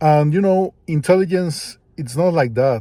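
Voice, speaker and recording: A man speaks in a dark, mellow tone with ordinary pitch variation. The recording is very clean, with a silent background. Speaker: vlogger. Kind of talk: casual monologue. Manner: slow; hesitant.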